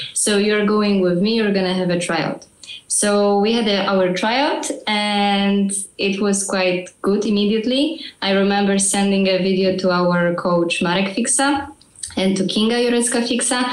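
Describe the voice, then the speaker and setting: With noticeable background noise and audible room echo, a woman speaks at a moderate pace and medium pitch, her loudness very even and her pitch varying in an ordinary way. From Poland. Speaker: ballroom dancer. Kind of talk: podcast interview.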